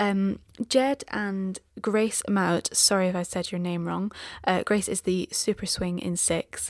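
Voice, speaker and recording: A woman speaks quietly at a very slow pace on a very clean recording with a silent background. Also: medium pitch for a woman, fairly even intonation. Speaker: podcast co-host. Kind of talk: casual chat; reading out plugs. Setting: home, late at night.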